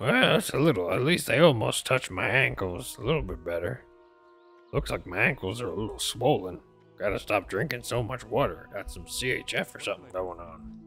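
Over faint background music, a man does a put-on character voice at a medium pitch. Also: fairly quick pace. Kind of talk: video game roleplay. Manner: rambling.

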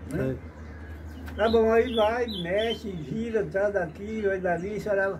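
Through noticeable background noise, a man speaks in a high pitch at a very slow pace. His intonation is fairly even. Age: old. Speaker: retired amateur footballer; storyteller. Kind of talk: storytelling interview. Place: farm machine. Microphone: phone near.

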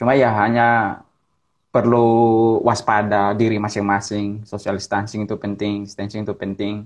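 A man talks in a fairly low pitch. The background is quiet. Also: moderate pace. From Ambon, Maluku, Indonesia. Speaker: pastor. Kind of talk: casual chat. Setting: video call. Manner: energetic. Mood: relaxed, smiling. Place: home room. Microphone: earbuds.

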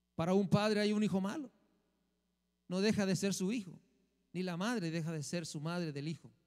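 A man with a high-pitched voice talks at a fairly quick pace in an animated tone, using ordinary pitch variation and long, frequent pauses against a quiet background. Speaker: minister. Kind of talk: sermon. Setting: church. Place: church. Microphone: handheld.

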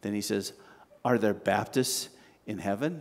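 Speaking at a slow pace, a man lets his pitch make big swings.

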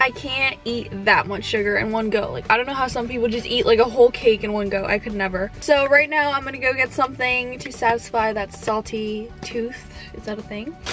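A woman's fairly quick speech with fairly even intonation, dry and echo-free, faint music in the background. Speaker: vlogger. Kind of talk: casual vlog chat. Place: car.

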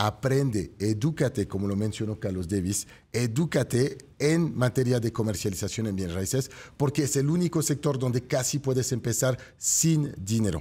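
A man's somewhat breathy voice, dark and mellow in tone, at a medium pitch and moderate pace, with lively intonation. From France. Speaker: real estate show host. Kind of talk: motivational sales pitch; talk show interview. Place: studio. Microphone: studio mic.

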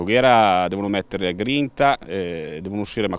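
In a dry recording with no echo, a man talks at a fairly quick pace. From Milan, northern Italy. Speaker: football club president. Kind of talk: interview. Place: stadium. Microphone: handheld.

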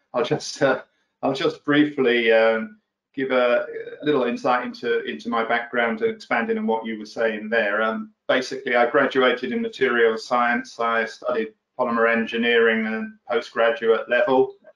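A man speaks at a moderate pace with audible room echo and a quiet background. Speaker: guest. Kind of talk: interview answer. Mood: relaxed, friendly. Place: office. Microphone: video call.

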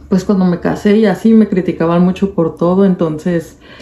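Audible room echo surrounds a woman's voice. Her intonation is fairly even. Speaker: vlogger. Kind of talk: casual vlog chat. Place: home room. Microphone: phone near.

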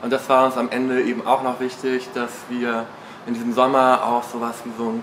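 A man at a moderate pace over light background noise. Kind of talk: interview answer. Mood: relaxed, enthusiastic. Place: office. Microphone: lapel.

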